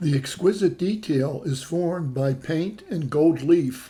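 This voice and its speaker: A man speaks fairly slowly in a dark, mellow tone. His voice is somewhat breathy, with ordinary pitch variation. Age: 60s. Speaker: travel vlogger. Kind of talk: travelogue narration.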